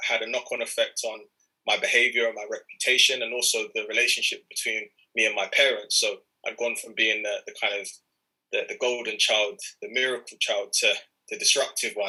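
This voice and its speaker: Fairly quick speech from a man with a London accent. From North London (Enfield). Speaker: youth mentor and entrepreneur. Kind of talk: talk to an audience. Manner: halting.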